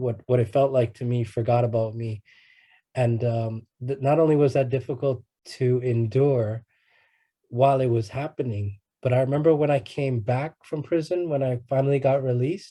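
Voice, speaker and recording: Over a quiet background, a man speaks at a medium pitch and moderate pace in a somewhat breathy, dark, mellow voice with fairly even intonation. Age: 30s. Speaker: guest speaker, ex-prisoner and rapper. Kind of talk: talk at youth conference. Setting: conference. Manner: halting, many repeated words.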